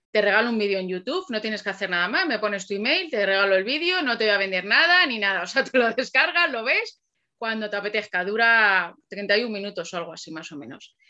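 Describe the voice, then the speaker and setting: This woman has an unremarkable speaking voice, fairly high in pitch, with lively intonation. She talks at a fairly quick pace with hardly any pauses. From Alcalá de Henares, Madrid region, Spain. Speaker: copywriter. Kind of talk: casual interview. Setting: video podcast.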